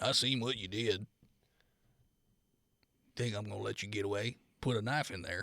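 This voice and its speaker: A man does a put-on character voice, raspy and fairly low in pitch. He moves at a moderate pace with long, frequent pauses. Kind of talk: menacing. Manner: gruff, threatening.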